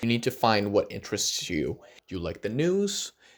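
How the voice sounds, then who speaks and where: Speaking with a Spanish accent at a moderate pace, a man is heard on a very clean recording with a silent background. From Argentina. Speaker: youtuber. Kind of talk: vlog advice talk.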